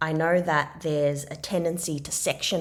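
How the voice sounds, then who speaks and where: A woman with an Australian accent at a moderate pace, on a very clean recording with a silent background. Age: 30s. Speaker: podcast host and expressive writing practitioner. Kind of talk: solo podcast monologue. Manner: conversational.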